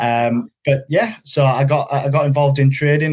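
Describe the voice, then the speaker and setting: This man has a Yorkshire accent and a medium pitch. His intonation is flat and monotone, on a very clean recording with a silent background. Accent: Yorkshire accent, noticeable. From northern England, West Yorkshire. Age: 20s. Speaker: funded trader. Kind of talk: interview. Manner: hesitant, many fillers.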